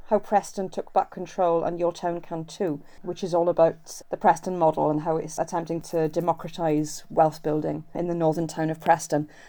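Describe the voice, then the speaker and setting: With a British accent, a woman speaks at a moderate pace with hardly any pauses, her fairly low pitch carrying a dark, mellow tone in a monotone, flat intonation. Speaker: writer. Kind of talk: casual conversation about music.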